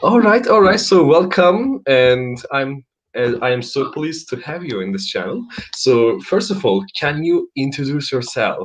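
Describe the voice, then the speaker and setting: Taking a fairly slow pace, a man in a Turkish accent speaks at a fairly high pitch with very wide pitch swings. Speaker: English conversation teacher. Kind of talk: live online conversation lesson. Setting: live stream.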